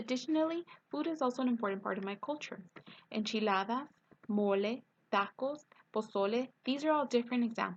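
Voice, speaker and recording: Long, frequent pauses break up speech at a fairly quick pace with ordinary pitch variation. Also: woman, high pitch for a woman. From East Los Angeles, California. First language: Spanish. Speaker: student. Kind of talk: reading aloud. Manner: scripted, read-aloud delivery.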